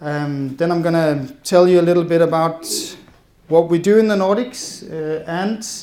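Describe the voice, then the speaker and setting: A man's high-pitched voice in a Danish accent, ordinary pitch variation, and audible room echo. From Denmark. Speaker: policy advisor. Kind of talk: conference presentation. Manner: fast.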